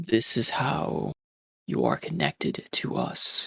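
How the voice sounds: A man speaks in a raspy, put-on character voice. His pace is fairly slow. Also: dry, close sound with no echo.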